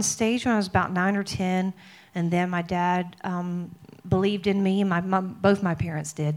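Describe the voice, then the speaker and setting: A woman with a Mississippi accent speaks at a medium pitch in a very clean recording with a silent background. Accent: Southern US (Mississippi). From US South, Mississippi. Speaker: worship singer and songwriter. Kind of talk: testimony. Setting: stage with audience.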